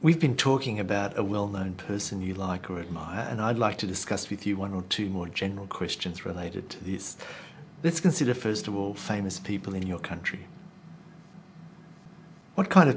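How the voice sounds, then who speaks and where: A man's somewhat breathy voice sits at a fairly low pitch as he talks at a moderate pace. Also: ordinary pitch variation. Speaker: IELTS examiner. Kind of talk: interview questions.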